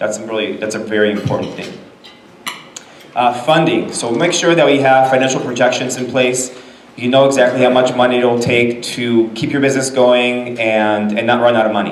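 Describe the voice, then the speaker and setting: A man with a Californian accent speaks at a medium pitch and a fairly quick pace with fairly even intonation, amid noticeable background noise and audible room echo. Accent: General American, Californian. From Los Angeles, raised from age nine (born in Israel). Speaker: business lawyer. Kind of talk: presentation to a business audience. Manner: casual, with frequent fillers.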